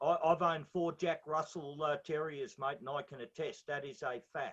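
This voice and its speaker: A man talks in an Australian accent at a fairly high pitch. His intonation stays fairly even and his pace is moderate. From Australia, Brisbane. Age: 60s. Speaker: interviewee sharing life story. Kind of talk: interview testimony. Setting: on a boat at sea.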